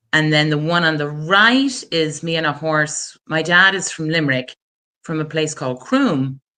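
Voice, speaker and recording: A bright, sharp tone at a fairly slow pace, in a Wexford accent. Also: woman. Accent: Irish (southeast, Wexford). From Ireland, rural County Wexford. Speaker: attorney, guest. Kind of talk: interview, personal story.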